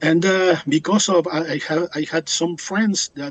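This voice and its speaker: A man with a Spanish accent and a fairly high pitch at a fairly slow pace, with a dry, close sound and no echo. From Uruguay. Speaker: biology professor. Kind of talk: interview. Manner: halting.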